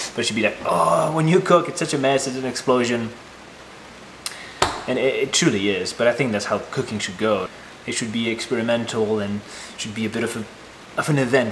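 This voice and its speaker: A man speaks at a fairly quick pace. Background noise is noticeable. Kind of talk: casual vlog chat. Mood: relaxed, enthusiastic. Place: kitchen.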